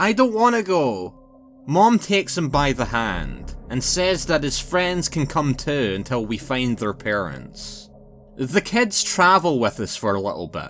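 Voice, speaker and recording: A man with a Scottish accent speaks at a fairly slow pace in a fairly high pitch, his voice swinging very widely in pitch. Music plays in the background. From Scotland. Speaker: narrator. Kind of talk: horror story narration.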